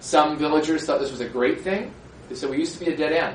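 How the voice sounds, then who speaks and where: Noticeable background noise and audible room echo surround a man with a fairly high pitch and an American accent. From US Midwest, rural Minnesota. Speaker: author. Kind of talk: public talk with slides. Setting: lecture hall with audience.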